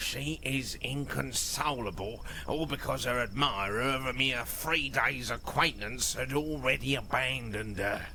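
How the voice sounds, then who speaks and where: A man puts on a character voice at medium pitch and a moderate pace, with hardly any pauses. Background noise is clearly heard. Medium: video game. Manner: blunt, jovial.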